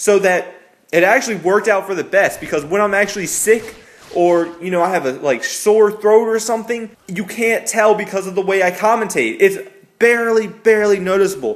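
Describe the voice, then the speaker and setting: Over noticeable background noise, a man with an American accent speaks with a high pitch for a man and ordinary pitch variation. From Maryland, US. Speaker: YouTube gaming commentator. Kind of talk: casual vlog tutorial. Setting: garage. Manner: natural talking voice, not commentary voice; casual, some hesitations.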